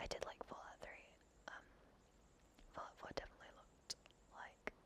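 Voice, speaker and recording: A whispering voice with a gentle tone. The pace is fairly quick. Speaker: ASMR creator. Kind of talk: ASMR gaming commentary. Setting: headset microphone, home. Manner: whispered, gentle.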